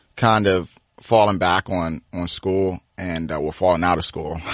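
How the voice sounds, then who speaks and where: A man with an American accent and a very deep, low pitch speaks fairly slowly with ordinary pitch variation in a quiet background. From US Mid-Atlantic, Prince George's County, Maryland. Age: 20s. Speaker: professional wrestler. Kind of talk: interview.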